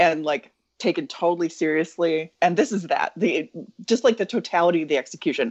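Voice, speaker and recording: A woman talks at a fairly quick pace and fairly low pitch with lively intonation in a normal speaking voice. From US Midwest (Wisconsin). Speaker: podcast guest. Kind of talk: reading a prepared recap; casual chat.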